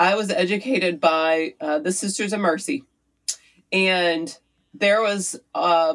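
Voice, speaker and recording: Her voice is an ordinary speaking voice. This woman has a medium pitch and a fairly slow pace. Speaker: city council candidate. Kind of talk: interview conversation.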